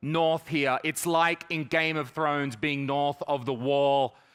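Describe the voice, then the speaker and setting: With an Australian accent, a man speaks at a fairly slow pace in a bright, sharp tone. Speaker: stand-up comedian. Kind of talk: stand-up.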